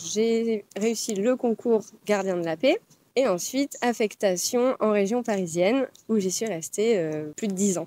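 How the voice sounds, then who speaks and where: A woman with a dark, mellow tone and fairly high pitch speaks fairly slowly with ordinary pitch variation, the sound dry and close with no echo. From France. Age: 30s. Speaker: former police officer, student. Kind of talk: casual interview. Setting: outdoors among pine trees.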